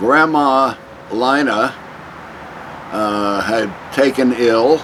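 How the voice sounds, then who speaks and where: Someone with a New York accent speaks with ordinary pitch variation over noticeable background noise. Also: man. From US Northeast, Long Island, New York. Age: 80s+. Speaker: interviewee. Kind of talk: oral history interview. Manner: halting.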